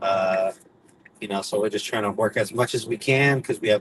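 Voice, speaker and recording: A man with an American accent at a moderate pace, over noticeable background noise. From California. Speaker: rideshare driver. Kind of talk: casual chat. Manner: animated.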